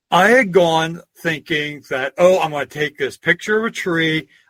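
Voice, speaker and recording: With a Pennsylvania accent, a man speaks at a fairly high pitch and a moderate pace, with ordinary pitch variation and a dry, close sound with no echo. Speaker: historian and folklorist. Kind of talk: interview. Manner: casual, anecdotal.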